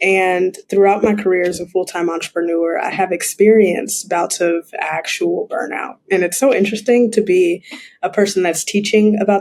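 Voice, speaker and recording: An unremarkable speaking voice from a woman, medium in pitch, with fairly even intonation at a moderate pace. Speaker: mindfulness coach and entrepreneur. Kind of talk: podcast interview.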